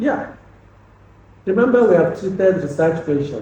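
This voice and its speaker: A man with a Nigerian accent, plus audible room echo. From Nigeria, Anambra State (Igbo). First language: Igbo. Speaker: lecturer. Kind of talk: lecture. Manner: halting, repeats words.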